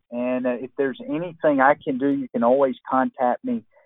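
This man has a plain, everyday voice with a fairly high pitch. He talks at a moderate pace with ordinary pitch variation. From US South, Georgia. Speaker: retired Marine colonel and author. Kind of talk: interview.

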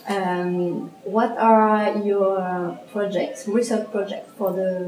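A woman speaks at a very slow pace with ordinary pitch variation, with audible room echo. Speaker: podcast host and interviewer. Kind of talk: interview.

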